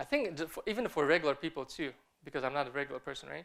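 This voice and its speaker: Very fast speech from a man with a non-native accent and lively intonation. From Kazakhstan (Almaty). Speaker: film director and artist. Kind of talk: conference talk. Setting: stage with audience. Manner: halting, many fillers and repeated words.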